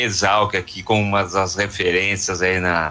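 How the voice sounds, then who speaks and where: A man's fairly low voice moves at a moderate pace. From Piracicaba, São Paulo state, Brazil. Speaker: agricultural economics researcher and professor. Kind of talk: radio interview.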